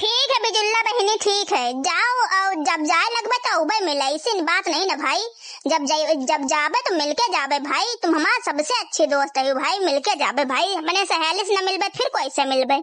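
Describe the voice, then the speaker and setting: In a cartoonish character voice, a female-sounding speaker with extremely high pitch talks with hardly any pauses. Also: moderate pace. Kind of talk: cartoon village comedy.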